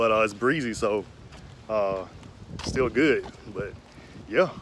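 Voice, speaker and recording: There is light background noise as a man speaks at a fairly slow pace. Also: dry sound with no echo. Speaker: cyclist vlogger. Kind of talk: casual vlog chat. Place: street. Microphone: phone near.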